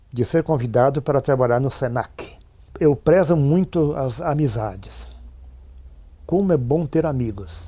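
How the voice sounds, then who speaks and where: Somewhat breathy and dark, mellow in tone, a man speaks at a fairly slow pace with lively intonation and long, frequent pauses. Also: medium pitch for a man. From Rio Grande do Sul, Brazil (São Francisco de Paula). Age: 70s. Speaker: retired teacher and administrator. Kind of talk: interview testimony.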